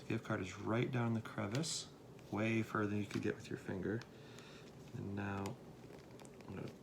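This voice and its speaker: A soft-spoken man, fairly low in pitch, at a moderate pace with fairly even intonation and long, frequent pauses. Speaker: pastor making a how-to video. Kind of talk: tutorial. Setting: at home at night. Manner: casual.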